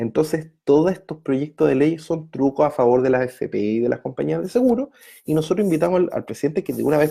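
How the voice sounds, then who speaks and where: Moderate pace, very clean recording, silent background. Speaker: pension advice livestream host. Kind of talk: live stream Q&A.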